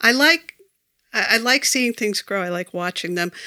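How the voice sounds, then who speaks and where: With an American accent, a woman speaks in a bright, sharp tone, the recording very clean with a silent background and a dry, close sound with no echo. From Massachusetts, Foxborough. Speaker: local election candidate. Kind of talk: interview. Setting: small studio, in person.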